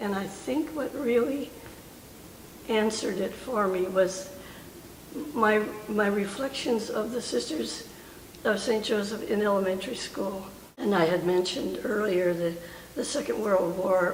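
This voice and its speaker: A woman's medium-pitched voice at a moderate pace, with ordinary pitch variation, long and frequent pauses, and noticeable background noise. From Oakland, California. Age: 80s+. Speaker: World War II army truck driver. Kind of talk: interview answer.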